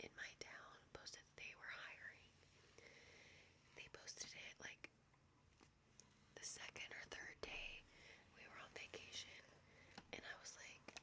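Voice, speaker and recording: A woman is whispering. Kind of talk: ASMR whisper ramble, life update. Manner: whispered.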